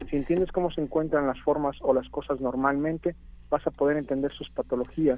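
A man's dark, mellow tone. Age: 30s. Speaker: medical doctor, app project leader. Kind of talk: interview. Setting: phone call.

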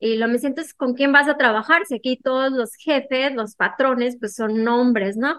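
High female speech at a medium speed, its pitch moving in an ordinary way. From Mexico, Hermosillo, Sonora. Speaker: literature graduate student. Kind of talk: interview.

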